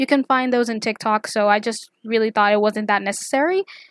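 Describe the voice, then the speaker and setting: This very clean recording with a silent background has a dry, close sound with no echo and a voice with ordinary pitch variation. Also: woman. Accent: non-native. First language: not English. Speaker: YouTuber, artist and pop culture commentator. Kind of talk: casual commentary video. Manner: casual, filler-heavy, rambling.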